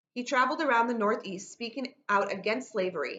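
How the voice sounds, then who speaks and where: An American accent comes through as a woman talks at a very fast pace with ordinary pitch variation. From New York State, Rochester. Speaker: teacher. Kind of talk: lecture. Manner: fast talker.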